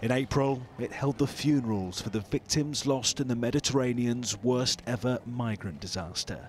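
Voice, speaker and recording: In a British accent, a man at medium pitch speaks at a moderate pace with ordinary pitch variation and hardly any pauses. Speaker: TV news reporter. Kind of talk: news report.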